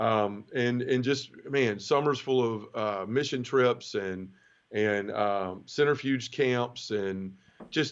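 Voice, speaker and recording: A man with a Memphis accent talks at medium pitch over a quiet background. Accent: Southern US (Memphis). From US South, Memphis, Tennessee. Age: 30s. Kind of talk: testimony. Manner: casual, conversational.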